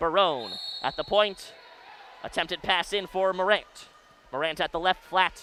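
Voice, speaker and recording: A man raises and projects his voice. His pitch is high. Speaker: college radio sports play-by-play announcer. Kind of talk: live commentary. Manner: loud; fast.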